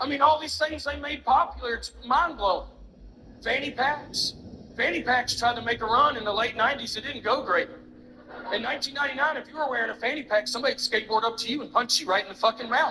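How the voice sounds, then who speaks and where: Raised and projected, a man's extremely high voice carries a strong Southern US accent, with ordinary pitch variation and big swings in loudness. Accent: thick Southern drawl. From US South, Alabama. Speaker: stand-up comedian. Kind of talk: stand-up.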